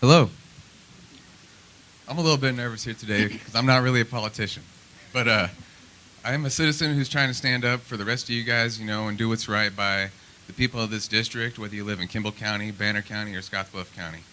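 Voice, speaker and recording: A man with a Midwestern US accent talks at a very fast pace in a medium pitch, with ordinary pitch variation and long, frequent pauses. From Nebraska, Lincoln. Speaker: political candidate. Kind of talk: opening statement at candidate forum. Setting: public forum with audience. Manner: halting, many fillers.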